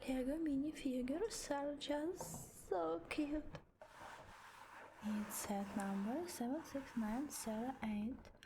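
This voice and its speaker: A woman with a non-native accent speaks very slowly in a gentle tone at a high pitch. Her pitch swings very widely while her loudness stays very even. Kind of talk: ASMR talking, build-along. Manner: soft, gentle, cozy.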